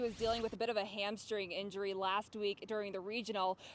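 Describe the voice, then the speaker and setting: A plain, everyday voice from a woman, fairly high in pitch, fairly quick, with ordinary pitch variation. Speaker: TV sports anchor and reporter. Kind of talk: TV sports news anchor read.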